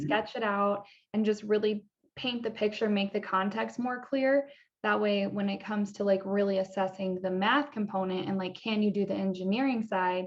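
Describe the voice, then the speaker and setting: Her plain, everyday voice sits at a medium pitch as the woman speaks at a moderate pace with fairly even intonation. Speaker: engineering educator. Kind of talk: interview questions.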